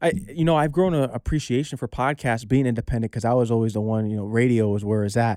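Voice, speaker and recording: A man's medium-pitched, dark and mellow voice with an American accent, very fast with hardly any pauses, and ordinary pitch variation. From Connecticut, Norwalk. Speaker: DJ and aspiring actor. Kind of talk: casual interview chat. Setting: studio.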